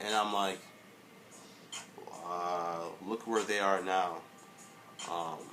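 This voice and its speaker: Speaking very slowly with long, frequent pauses, a man's very deep, low voice stays flat and monotone over noticeable background noise and audible room echo. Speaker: vlogger. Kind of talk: casual vlog monologue. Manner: halting, stuttering a little; many filler words.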